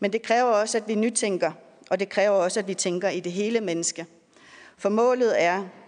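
Pitch variation is ordinary as a woman talks at a medium pitch. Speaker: politician, deputy chair of committee. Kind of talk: opening speech.

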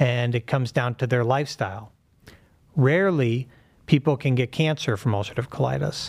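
Here a man has an unremarkable speaking voice with an American accent. His pitch is medium with ordinary variation, and his pace is fairly quick. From Pittsburgh, US. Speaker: surgeon. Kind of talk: interview.

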